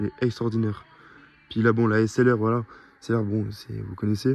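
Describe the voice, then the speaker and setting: Here a man speaks at a medium pitch. His pace is fairly quick. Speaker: car vlogger. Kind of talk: vlog commentary. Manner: fast; animated.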